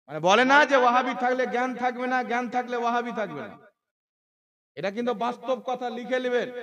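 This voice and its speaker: A man speaks at an extremely high pitch, his loudness swinging widely. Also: fairly even intonation. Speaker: Islamic preacher. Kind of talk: religious sermon. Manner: impassioned, forceful.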